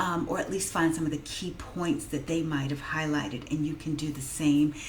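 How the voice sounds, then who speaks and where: A woman's very deep, low voice at a moderate pace, with audible room echo and noticeable background noise. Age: 50s. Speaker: vlogger and technical writer. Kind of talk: casual vlog monologue. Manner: hesitant with many fillers.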